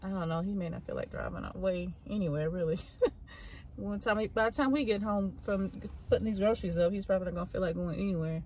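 Over light background noise, a woman speaks at a very fast pace with ordinary pitch variation. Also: dry sound with no echo. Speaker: vlogger mother. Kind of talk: casual vlog chat. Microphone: phone near.

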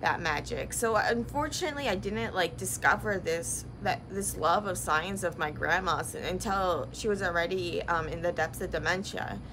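A woman talks at a moderate pace with hardly any pauses. There is noticeable background noise. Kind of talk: casual vlog chat. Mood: reflective, a bit sad. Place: workshop. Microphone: phone near.

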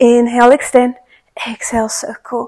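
Her voice sits high for a woman, delivered at a moderate pace. The background is quiet. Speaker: fitness instructor. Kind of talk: workout instruction.

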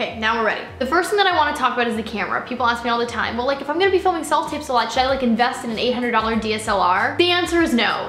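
Amid light background noise and audible room echo, a woman speaks in a high pitch with hardly any pauses. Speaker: actor, vlogger. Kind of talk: casual vlog chat. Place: home room.

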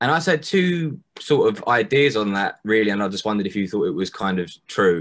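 A man speaks at a fairly quick pace with hardly any pauses. His pitch swings very widely. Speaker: audience member. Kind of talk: Q&A discussion. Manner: halting. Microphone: video call.

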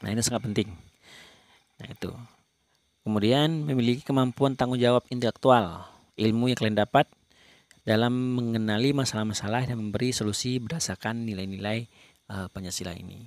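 A man's medium-pitched voice, dry and close with no echo, with ordinary pitch variation, big swings in loudness, and long, frequent pauses. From Indonesia, Bungo, Jambi. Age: young. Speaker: lecturer. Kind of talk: lecture. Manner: halting, many fillers.

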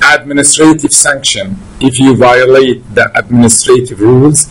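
The pace is very slow as this man speaks. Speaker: university law lecturer. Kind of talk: lecture. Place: office.

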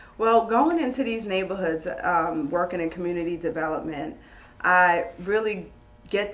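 A woman's fairly low voice at a fairly slow pace, with ordinary pitch variation. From New York, Queens. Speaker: former loan officer and real estate investor. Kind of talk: casual interview on a live stream. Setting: live online video stream. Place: meeting room.

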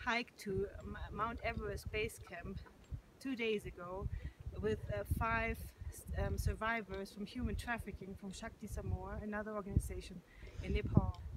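The woman talks with a German accent. The sound is dry with no echo, and loud background noise is present. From Germany. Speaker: yoga and meditation teacher. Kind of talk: testimony and appeal to camera. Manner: hesitant, with frequent fillers. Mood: calm, warm, grateful. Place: open country. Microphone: phone near.

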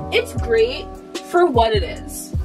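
A woman talks at a fairly slow pace over clear music in the background. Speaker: vlogger. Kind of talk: casual vlog chat. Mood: frustrated ranting, frank. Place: home room. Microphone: camera far.

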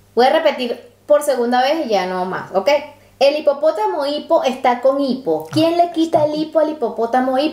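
Against noticeable background noise, a woman speaks at a moderate pace in a high voice with lively intonation. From Latin America. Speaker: travel vlogger. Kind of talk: reading aloud.

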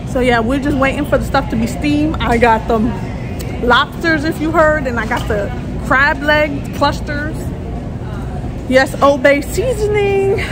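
A woman talks at a fairly slow pace. Music plays in the background. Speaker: vlogger. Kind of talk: casual vlog chat. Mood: playful, excited. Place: shop. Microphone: phone near.

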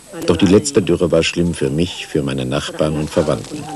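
The speaker uses lively intonation at a moderate pace, with noticeable background noise behind. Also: man. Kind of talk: interview testimony, dubbed German voice-over.

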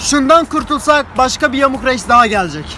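A man talks in a raised, projected voice at a fairly quick pace. Music plays in the background, and the sound is dry with no echo. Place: street. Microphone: phone near.

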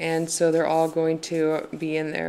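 This woman has a fairly low pitch. She speaks at a fairly slow pace. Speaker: tarot deck reviewer. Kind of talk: casual deck review chat. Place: home room. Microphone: phone near.

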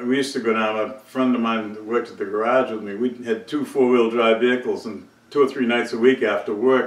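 With fairly even intonation, a man talks at a moderate pace in a fairly low pitch, and the room echo is audible.

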